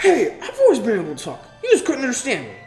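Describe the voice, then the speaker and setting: A woman talks at a very fast pace in a put-on character voice. Clear music plays in the background. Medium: read story. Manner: fast, tumbling, eager.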